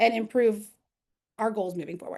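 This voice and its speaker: A woman talking at a fairly quick pace. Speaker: analytics lead presenting a webinar. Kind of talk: webinar presentation. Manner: fast.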